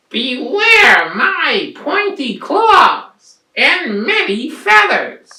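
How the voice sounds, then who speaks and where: This put-on character voice is extremely high, with very wide pitch swings. It moves at a very slow pace. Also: hardly any pauses. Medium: read story.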